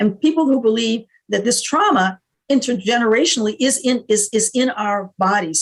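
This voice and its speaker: A somewhat breathy woman with a fairly high pitch and ordinary pitch variation. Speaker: panel expert on race and diversity. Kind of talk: panel discussion. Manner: fast; halting, many fillers and restarts.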